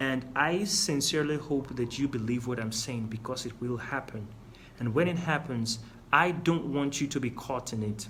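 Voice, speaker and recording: A man speaks with a non-native accent. The room echo is audible. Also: medium pitch for a man, ordinary pitch variation, moderate pace. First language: not English. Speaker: business coach. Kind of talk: lecture.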